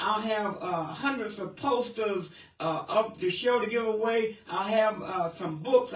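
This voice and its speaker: Against noticeable background noise, a man with an American accent speaks at a fairly slow pace in a high pitch with an animated tone. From Cleveland, Ohio, US Midwest. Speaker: radio show host. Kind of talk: call-in radio show.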